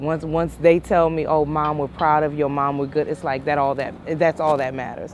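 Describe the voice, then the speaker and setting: The woman's voice is very deep and low in pitch. Noticeable background noise is present. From Louisiana (Lafayette) and DC area. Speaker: small business owner, driver. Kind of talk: interview.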